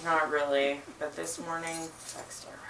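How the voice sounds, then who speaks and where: With audible room echo and noticeable background noise, a fairly low-pitched woman's voice comes through. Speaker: bookshop owner reading at open mic. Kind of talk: reading aloud.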